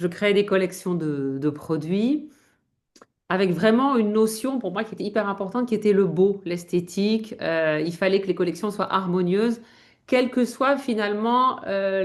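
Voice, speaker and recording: A woman speaks at a medium pitch with ordinary variation. Her pace is fairly slow. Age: 50s. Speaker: image consultant. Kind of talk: interview conversation. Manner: hesitant, many fillers.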